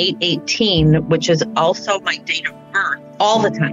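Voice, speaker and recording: The speech moves at a fairly slow pace over clear music in the background. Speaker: radio caller. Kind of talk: call-in conversation. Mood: warm, engaged. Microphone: phone line.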